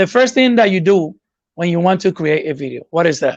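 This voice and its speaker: A man talks with a high pitch and lively intonation. His pace is fairly quick. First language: not English. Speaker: YouTube growth coach. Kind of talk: webinar Q&A.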